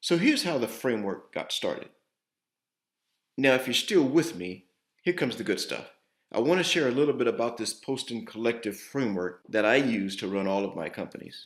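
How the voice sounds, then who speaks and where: A man with a normal speaking voice talks at a fairly quick pace in a medium pitch with lively intonation. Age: 60s. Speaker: entrepreneur and investor. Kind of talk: investor pitch.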